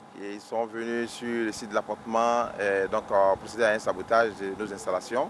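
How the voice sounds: The man's pitch is fairly low, with little movement. He talks at a fairly quick pace. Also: fairly bright tone.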